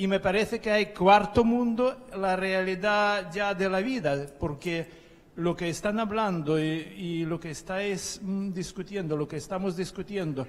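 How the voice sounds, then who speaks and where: A man with a high pitch talks at a fairly slow pace, his pitch varying in an ordinary way. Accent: non-native. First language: not Spanish (speaking Spanish). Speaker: conference attendee. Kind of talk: panel discussion. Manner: halting.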